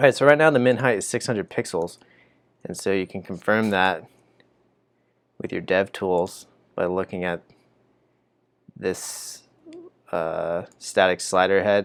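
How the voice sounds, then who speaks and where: This man's fairly low voice moves at a fairly slow pace with ordinary pitch variation and long, frequent pauses. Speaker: coding instructor streamer. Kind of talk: live coding tutorial. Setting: live stream. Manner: thinking out loud, casual.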